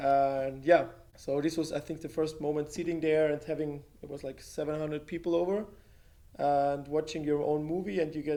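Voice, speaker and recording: The tone is dark and mellow, the intonation is monotone and flat, and the pace is fairly quick. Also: man. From Austria, Carinthia. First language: German. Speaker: filmmaker and photographer. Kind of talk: interview conversation.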